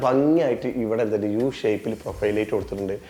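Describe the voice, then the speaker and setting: Over noticeable background noise, a man speaks in an animated tone. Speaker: home tour video host. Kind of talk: home tour walkthrough narration. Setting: on location inside a house.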